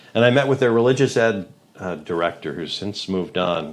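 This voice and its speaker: A man with a fairly low pitch talks with lively intonation. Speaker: radio host. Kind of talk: casual chat. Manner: loud.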